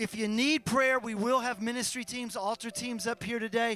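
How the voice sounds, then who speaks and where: A man with an American accent uses a raised, projected voice at an extremely high pitch and a moderate pace. His intonation is fairly even, the sound is dry with no echo, and faint music plays in the background. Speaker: pastor. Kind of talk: sermon closing prayer and blessing. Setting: church with online stream. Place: church. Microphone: handheld.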